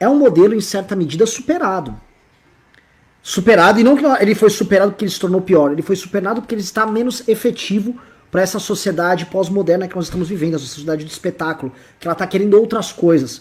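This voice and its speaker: This man talks at a very fast pace, his pitch high and its variation ordinary. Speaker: political commentator. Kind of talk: political discussion.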